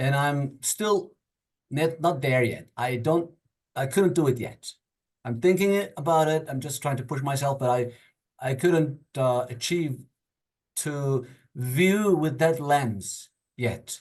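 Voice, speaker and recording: A man with a non-native accent and a fairly high pitch, somewhat breathy, at a very slow pace with long, frequent pauses and ordinary pitch variation. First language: not English. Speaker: workshop participant. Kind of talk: group discussion. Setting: video call. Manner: halting.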